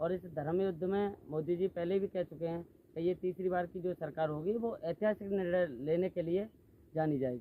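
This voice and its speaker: This man's voice sits high in pitch, with ordinary variation in its melody. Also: moderate pace. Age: 20s. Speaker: local party worker. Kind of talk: interview. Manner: formal.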